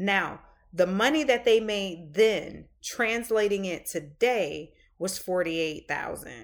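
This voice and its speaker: With a slight Southern US accent, a woman talks at a very slow pace and medium pitch with lively intonation in a very clean recording with a silent background. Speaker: podcast host. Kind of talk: casual podcast chat with reading aloud.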